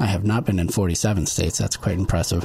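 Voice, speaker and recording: The man speaks with an American accent and a somewhat breathy, fairly low voice. His pitch variation is ordinary. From upstate New York (Olean). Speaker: city manager. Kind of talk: panel discussion. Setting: studio.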